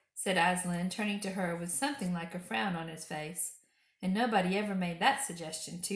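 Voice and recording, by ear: A passage read aloud in a natural voice, its intonation fairly even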